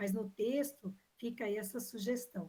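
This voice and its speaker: Her fairly high voice is a plain, everyday voice, and this woman's pitch varies in an ordinary way. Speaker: examination panel member. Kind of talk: academic defense questioning.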